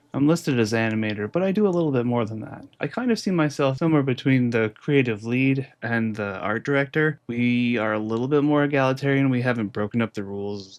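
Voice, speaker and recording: A man speaks at a fairly quick pace with hardly any pauses, at a medium pitch and with ordinary pitch variation. He has an unremarkable speaking voice. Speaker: animator. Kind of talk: casual Q&A monologue.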